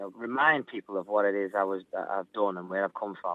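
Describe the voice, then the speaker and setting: A man speaks with a Liverpool accent. He talks at a fairly quick pace. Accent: Scouse. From Liverpool, England. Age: 20s. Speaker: singer. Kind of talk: interview. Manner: animated.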